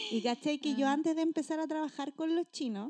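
A woman speaks with a Chilean accent in a dark, mellow tone. Her pitch varies in an ordinary way, and the sound is dry and close with no echo. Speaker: podcast co-host, teacher. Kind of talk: casual chat.

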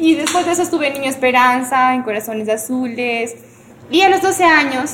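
A high-pitched woman speaks at a fairly quick pace with lively intonation. Audible room echo and noticeable background noise surround her voice. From Ecuador, Cuenca. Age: 20s. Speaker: singer-songwriter. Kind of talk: casual chat.

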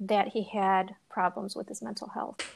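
The recording is very clean with a silent background, and a woman speaks at a medium pitch. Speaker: podcast host. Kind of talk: interview.

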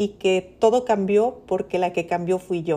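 A woman talks in a dark, mellow tone at a very slow pace. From Mexico, Sonora (Ciudad Obregón). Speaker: podcast host, personal finance educator. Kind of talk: solo monologue, personal reflection.

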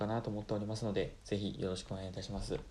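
A man's dark, mellow voice, fairly low in pitch. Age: 20s. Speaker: podcaster, engineer. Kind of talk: solo podcast introduction. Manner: polite formal.

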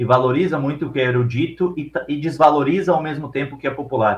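A man with a fairly high pitch and an ordinary speaking voice, at a fairly quick pace. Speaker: film podcast host. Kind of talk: casual chat.

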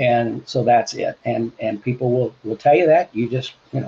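A somewhat breathy man talks at a moderate pace with ordinary pitch variation. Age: 70s. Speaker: livestream host answering questions about PEMF devices. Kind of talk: live-streamed Q&A with phone callers. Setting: livestream, calls taken by phone.

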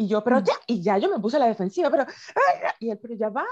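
A woman talks at a very fast pace with very wide pitch swings, recorded with a dry, close sound and no echo. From Venezuela. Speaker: podcast co-host. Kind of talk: casual chat. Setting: video call.

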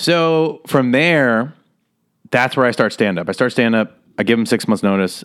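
At a moderate pace, a man with an American accent and an ordinary speaking voice speaks at medium pitch with lively intonation and very even loudness in a very clean recording with a silent background. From Las Vegas, Nevada. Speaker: comedian and actor. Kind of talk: casual interview chat.

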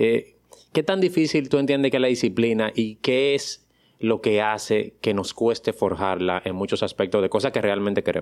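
Lively intonation marks this man's plain, everyday voice. His pitch is medium and his loudness very even. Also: moderate pace. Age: 40s. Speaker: podcast host, pediatrician and productivity mentor. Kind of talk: interview.

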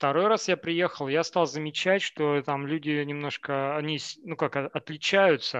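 In a normal speaking voice, a man with a fairly high pitch talks at a fairly slow pace with fairly even intonation, the sound dry and close with no echo against a quiet background. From Siberia, Novokuznetsk. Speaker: software engineer. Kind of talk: casual chat.

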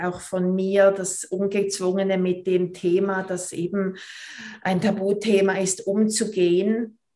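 Noticeable background noise sits behind a woman's voice. She speaks at a very slow pace and a medium pitch. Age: 40s. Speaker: movement teacher and pelvic floor trainer. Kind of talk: podcast interview.

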